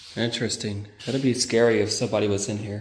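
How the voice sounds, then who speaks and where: Over light background noise and audible room echo, a man talks at a fairly slow pace in a monotone, flat intonation. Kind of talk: casual vlog chat. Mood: curious, relaxed. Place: hall. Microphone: phone near.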